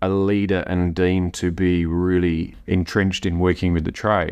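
A man's very deep, low voice with an Australian accent, at a moderate pace against a quiet background. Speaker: brewery CEO. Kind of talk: interview. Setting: on location.

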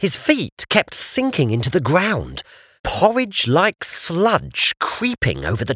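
This is a natural reading voice. No other traits are noted.

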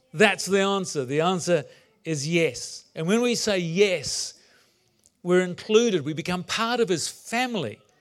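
A man with a New Zealand accent, lively intonation and a moderate pace. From New Zealand (moved from England at nine). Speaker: pastor. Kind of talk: sermon.

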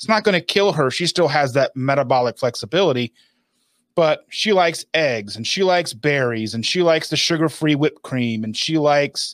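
With a normal speaking voice, a man talks at a moderate pace and fairly high pitch in a very clean recording with a silent background. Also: dry, close sound with no echo. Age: 40s. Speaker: keto lifestyle video creator. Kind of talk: casual interview.

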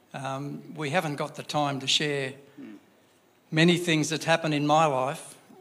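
In an Australian accent, a man talks at a moderate pace in a fairly high pitch with ordinary pitch variation. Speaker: church member. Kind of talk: testimony. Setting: church. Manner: halting.

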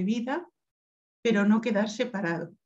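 At a fairly slow pace, a woman of medium pitch speaks in a somewhat breathy voice. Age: 50s. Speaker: cancer survivor. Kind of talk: interview.

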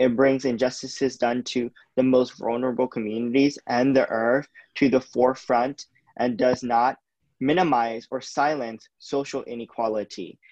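A man with an American accent speaks at a moderate pace and medium pitch. His intonation is fairly even, and the sound is dry and close with no echo. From US West Coast. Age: 20s. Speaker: climate activist. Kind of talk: interview.

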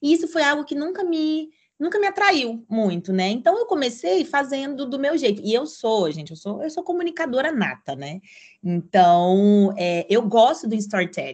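Pitched high, a woman's voice swings very widely up and down. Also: moderate pace. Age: 20s. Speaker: content creator and digital nomad. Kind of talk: podcast interview.

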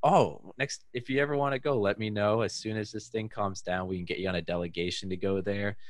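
A man with an American accent, fairly low in pitch, at a fairly quick pace with ordinary pitch variation and hardly any pauses. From US West Coast, Bay Area. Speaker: tech entrepreneur and podcaster. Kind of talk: casual interview chat.

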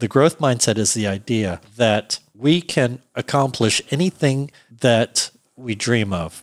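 It is a plain, everyday voice. The sound is dry and close, with no echo. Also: man. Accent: American. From US, Virginia (Alexandria). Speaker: production sound mixer and director. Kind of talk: interview conversation.

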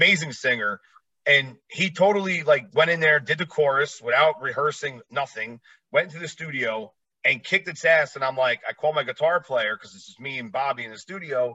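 A man with an American accent speaks at a fairly quick pace in a normal speaking voice, fairly high in pitch, with ordinary pitch variation and big swings in loudness. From New Jersey, near New York City. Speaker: podcast host and former traveling musician. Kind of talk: casual interview chat.

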